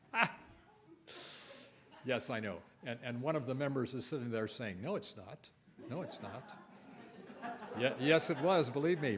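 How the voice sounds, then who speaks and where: With audible room echo, a man speaks at a moderate pace and medium pitch, using lively intonation, big swings in loudness and long, frequent pauses. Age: 80s+. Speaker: lay worship leader. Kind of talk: worship service talk. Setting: church. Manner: halting.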